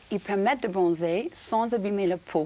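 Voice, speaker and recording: Medium pitch from a woman. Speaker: TV presenter on parenting show. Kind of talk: TV studio segment, lifestyle tips. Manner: slow.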